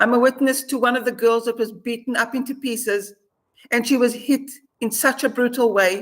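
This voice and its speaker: Her pitch is high. This woman keeps a fairly even intonation. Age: 60s. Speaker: released hostage. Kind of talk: interview testimony.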